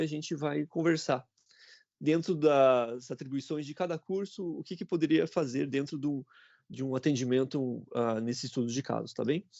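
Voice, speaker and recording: Ordinary pitch variation marks a man's fairly high voice, delivered at a moderate pace. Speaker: university lecturer, physiotherapist. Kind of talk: online class lecture. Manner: hesitant, many fillers.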